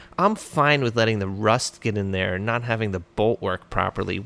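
A man puts on a whiny character voice at a medium pitch. His tone stays whiny as he talks at a moderate pace. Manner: whiny, sarcastic.

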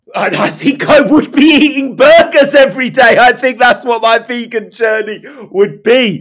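There is noticeable background noise as a man speaks at an extremely high pitch with ordinary pitch variation. His tone is animated and his pace moderate. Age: 40s. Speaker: professional poet. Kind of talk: casual chat.

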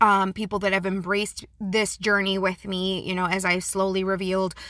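The tone is bright and sharp, on a very clean recording with a silent background. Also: woman. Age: 30s. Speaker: podcast host. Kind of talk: personal monologue.

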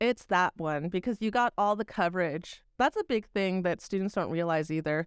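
A woman with an American accent has a plain, everyday voice, medium pitch and lively intonation at a moderate pace. The recording is very clean, dry and close, with a silent background and no echo. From Texas. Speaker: professor and video producer. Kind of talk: casual chat. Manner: direct.

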